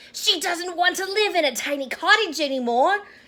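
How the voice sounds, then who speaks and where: An extremely high-pitched, put-on character voice at a moderate pace. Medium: read story. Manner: meek.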